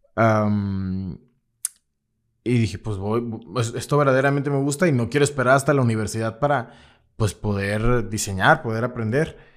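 A man with a medium-pitched voice speaks at a moderate pace with long, frequent pauses, in a very clean recording with a silent background. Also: ordinary pitch variation. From Mexico, Veracruz. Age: 20s. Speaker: graphic designer. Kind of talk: personal storytelling monologue. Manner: hesitant, many fillers.

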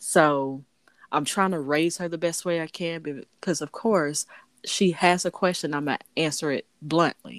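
Using a plain, everyday voice, a woman speaks at a moderate pace and a fairly low pitch with fairly even intonation. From United States. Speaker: podcast host. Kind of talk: casual chat.

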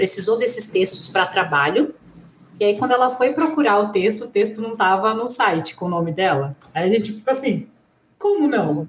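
A woman's plain, everyday voice at medium pitch, with lively intonation. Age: 30s. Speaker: sports journalist. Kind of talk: casual chat.

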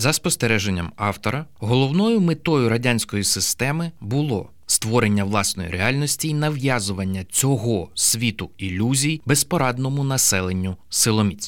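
A plain, everyday voice moves at a moderate pace with lively intonation, very even loudness and hardly any pauses. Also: man, medium pitch for a man. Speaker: audiobook narrator. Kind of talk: literary audiobook reading, narrating a true story from a book. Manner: measured, even narration.

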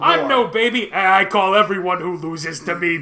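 Over clear background noise, a man uses a put-on character voice, pitched high and raised and projected, at a moderate pace. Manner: cocky, swaggering.

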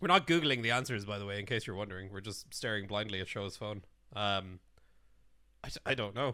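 In an Irish accent, the speaker talks at a fairly quick pace in a bright, sharp tone, leaving long, frequent pauses, on a very clean recording with a silent background. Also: man. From Ireland. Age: 20s. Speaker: podcast co-host. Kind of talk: casual chat.

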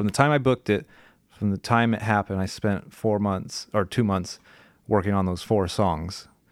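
A man with an American accent and a fairly low pitch speaks with fairly even intonation in a very clean, silent-background recording that sounds dry and close with no echo. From California. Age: 20s. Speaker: professional musician and guitar teacher. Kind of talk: casual interview.

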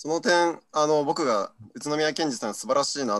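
A man with a medium-pitched voice is heard in a dry, close recording with no echo. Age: 20s. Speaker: party activist. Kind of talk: panel discussion.

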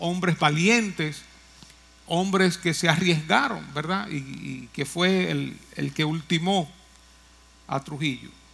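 With noticeable background noise, a man speaks at a very slow pace in a fairly high pitch with ordinary pitch variation. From Dominican Republic, Moca. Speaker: pastor. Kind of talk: sermon.

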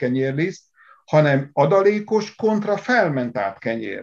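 The voice moves with lively intonation at a very slow pace. The background is quiet. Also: man. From Hungary, Szatmár (upper Tisza region). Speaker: agricultural engineer. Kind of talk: interview.

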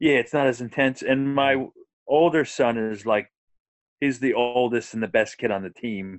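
A man speaks in a normal speaking voice at medium pitch. His pace is moderate and his pitch variation ordinary. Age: 40s. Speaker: minister and youth baseball coach. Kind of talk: casual interview.

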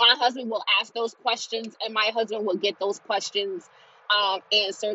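This woman talks at a moderate pace with a fairly high pitch. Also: fairly even intonation. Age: 20s. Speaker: podcast host. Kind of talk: personal testimony. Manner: halting.

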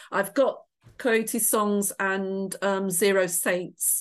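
With a West Midlands accent, a woman speaks at a medium pitch and fairly even intonation. The background is quiet. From England, Shropshire. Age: middle-aged. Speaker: author. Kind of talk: interview.

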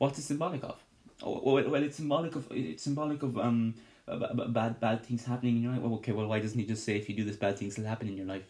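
Somewhat breathy and very fast, a man talks at a medium pitch with ordinary pitch variation. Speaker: Bible study podcast host. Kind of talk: Bible study teaching. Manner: animated.

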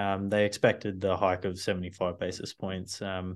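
The setting is quiet. The speaker is a man with an Australian accent. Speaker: data analyst. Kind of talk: casual interview on finance.

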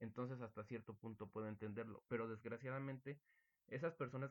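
Speaking very fast, a man with a Mexican accent keeps a medium pitch and fairly even intonation. The sound is dry and close, with no echo. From Mexico. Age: young. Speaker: student podcast host. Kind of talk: casual chat.

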